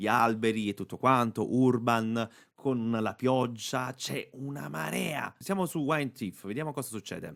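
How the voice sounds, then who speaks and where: With an ordinary speaking voice, a man talks at a medium pitch and a fairly slow pace. His intonation is lively. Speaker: voice actor. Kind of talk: casual tutorial talk to camera. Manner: upbeat, chatty.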